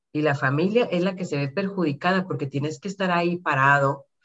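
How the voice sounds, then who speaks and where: Her intonation rises and falls in a lively way. The woman moves at a fairly quick pace. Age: 40s. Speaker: insurance advisor. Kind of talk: interview.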